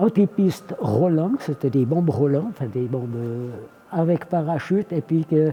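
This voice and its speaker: A man speaks over noticeable background noise. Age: 80s+. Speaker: military aircraft armourer, veteran of the Swiss army. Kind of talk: interview answer.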